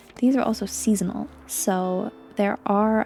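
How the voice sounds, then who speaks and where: Music plays in the background as a soft-spoken woman with a fairly high pitch talks in a gentle tone. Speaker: gaming video creator. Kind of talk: gentle gameplay commentary. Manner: soft, gentle.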